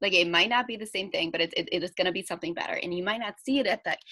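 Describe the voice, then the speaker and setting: A woman of medium pitch talks at a very fast pace with lively intonation. Her tone is bright, sharp, upbeat and animated. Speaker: podcast host and wellness coach. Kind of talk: casual interview chat. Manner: upbeat, animated.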